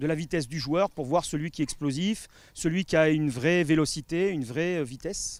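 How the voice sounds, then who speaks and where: Fairly quick speech with ordinary pitch variation on a very clean recording, silent background, and a dry, close sound with no echo. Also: man. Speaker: football fitness coach. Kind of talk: interview. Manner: fast; hesitant, many fillers.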